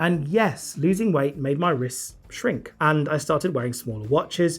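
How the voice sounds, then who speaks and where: A somewhat breathy man with a British accent, fairly high pitch and lively intonation, at a fairly slow pace with hardly any pauses. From Britain. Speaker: watch reviewer. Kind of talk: product review. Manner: casual, conversational.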